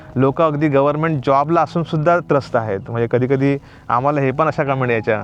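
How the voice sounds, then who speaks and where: Noticeable background noise is present. Over it, a man speaks at a fairly high pitch. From Konkan, Maharashtra. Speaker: YouTuber. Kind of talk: casual chat. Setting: outdoors.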